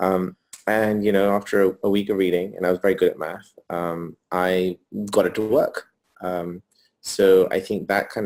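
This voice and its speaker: With a British accent, a man speaks at a moderate pace in a very deep, low voice and monotone, flat intonation. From England, North London. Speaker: entrepreneur. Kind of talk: interview. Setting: video call from hotel room. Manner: hesitant, many fillers.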